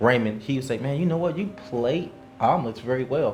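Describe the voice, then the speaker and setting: A medium-pitched man with an American accent at a fairly quick pace, ordinary pitch variation, audible room echo and noticeable background noise. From Indianapolis, Indiana, US. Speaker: chef. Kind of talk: interview, casual chat.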